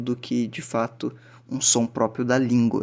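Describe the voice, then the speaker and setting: A man's medium pitch is heard with noticeable background noise behind it. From southern Brazil. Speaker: language teacher. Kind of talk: lecture. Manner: casual, filler-heavy.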